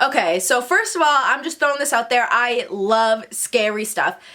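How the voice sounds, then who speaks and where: Her pitch swings very widely as this woman talks. Background noise is clearly noticeable behind her. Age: 20s. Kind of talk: casual storytime talk to camera. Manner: animated, chatty.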